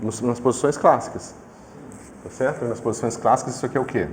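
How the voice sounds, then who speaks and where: A man at a medium pitch over noticeable background noise. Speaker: physics professor. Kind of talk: lecture.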